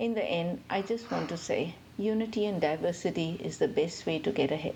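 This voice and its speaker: A woman speaks with vocal fry and a dark, mellow tone at a medium pitch. Her pace is moderate and her intonation lively. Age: 60s. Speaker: podcast listener. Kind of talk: recorded listener comment.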